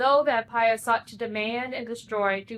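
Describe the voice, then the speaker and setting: At a moderate pace, a woman speaks in a plain, everyday voice at a fairly high pitch. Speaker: pastor. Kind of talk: sermon.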